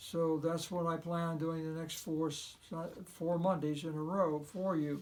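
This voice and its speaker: A man's high-pitched, monotone, flat delivery at a fairly slow pace, with audible room echo. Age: 80s+. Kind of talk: devotional talk. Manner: hesitant, with frequent filler words.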